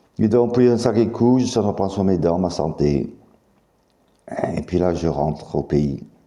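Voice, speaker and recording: A man's very deep, low voice at a moderate pace, with very wide pitch swings. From US South, Mississippi. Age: 50s. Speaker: YouTuber making claims about secret affairs. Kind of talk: monologue to camera. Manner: halting.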